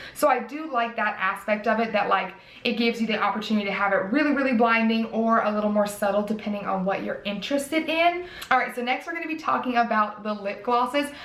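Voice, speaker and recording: A woman with an American accent speaks very fast at a fairly high pitch with ordinary variation, and room echo is audible. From US South. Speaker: beauty youtuber. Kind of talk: product review. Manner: casual, chatty. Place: home room.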